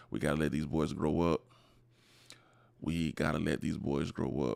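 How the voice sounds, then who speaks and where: With vocal fry and a very deep, low pitch, a man talks at a moderate pace with ordinary pitch variation. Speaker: men's issues vlogger. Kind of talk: monologue vlog. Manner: halting, many fillers; impassioned, pleading.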